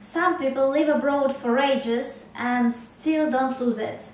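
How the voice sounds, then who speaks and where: Someone with a Russian accent speaks at a very slow pace, with fairly even intonation. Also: woman. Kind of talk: casual talk to camera.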